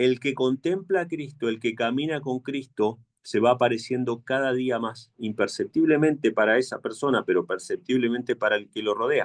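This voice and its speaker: This man talks with an Argentine accent at a medium pitch and a moderate pace. His pitch varies in an ordinary way, and he hardly pauses at all. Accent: Argentine Spanish, kept. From Argentina. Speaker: preacher. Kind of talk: sermon.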